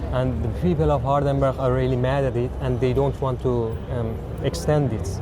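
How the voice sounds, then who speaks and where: In a Persian accent, a man with a very deep, low pitch for a man speaks at very even loudness yet with very wide pitch swings, amid audible room echo and noticeable background noise. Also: moderate pace. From Iran. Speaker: asylum seeker interviewee. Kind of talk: street interview. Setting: outdoors. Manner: halting, many fillers.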